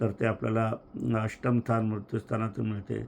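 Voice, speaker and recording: This is a man speaking. His pitch is fairly low. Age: 70s. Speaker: astrologer. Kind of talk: lecture.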